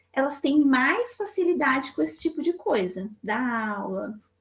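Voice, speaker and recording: A woman speaks fairly slowly at a high pitch, her voice making very wide pitch swings. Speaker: psychologist teaching a church class. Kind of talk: lecture.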